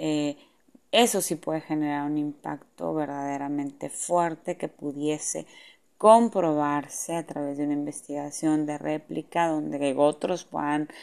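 Over a quiet background, a woman with a very deep, low pitch speaks at a fairly slow pace with fairly even intonation. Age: 40s. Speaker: psychologist. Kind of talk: monologue talk.

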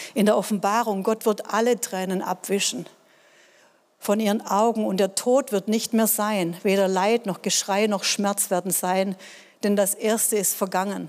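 Over a silent background in a very clean recording, a woman speaks at a fairly slow pace and a medium pitch. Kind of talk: sermon with personal testimony. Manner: earnest, emotional, conversational; animated, direct address to congregation.

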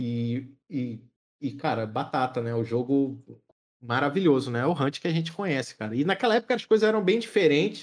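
A man talks at a moderate pace with a fairly high pitch and very wide pitch swings. The background is quiet. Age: 30s. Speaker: streamer. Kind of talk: casual chat.

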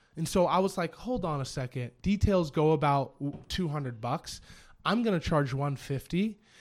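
This man has an ordinary speaking voice with an American accent, fairly high in pitch, with lively intonation. His recording is very clean, with a silent background. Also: moderate pace. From US Pacific Northwest, Spokane. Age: 30s. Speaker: auto detail shop owner. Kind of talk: casual chat.

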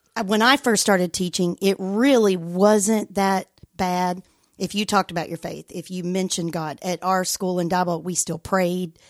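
With a Texan accent, a woman speaks at a moderate pace and medium pitch with fairly even intonation, recorded very cleanly against a silent background in a dry, close sound with no echo. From West Texas and southeastern New Mexico. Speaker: school principal. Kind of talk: interview. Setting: studio.

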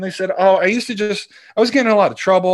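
Speaking at a very fast pace, a man is heard over a quiet background. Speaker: former hockey scout. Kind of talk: casual chat.

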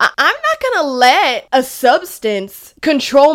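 A woman speaks in a high, animated voice with lively intonation. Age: 20s. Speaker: podcast host. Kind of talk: casual faith-based monologue.

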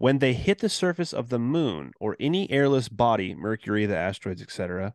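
Over a quiet background, a plain, everyday voice moves with lively intonation. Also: man. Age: 30s. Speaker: podcast co-host, conspiracy show. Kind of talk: casual chat.

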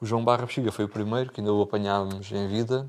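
A man talks in an unremarkable speaking voice, fairly low in pitch, with fairly even intonation. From Portugal, Algarve (Bordeira). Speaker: accordionist. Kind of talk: interview.

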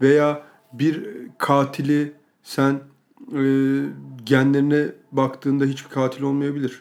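A man speaks at a fairly high pitch. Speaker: podcast co-host. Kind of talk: casual chat.

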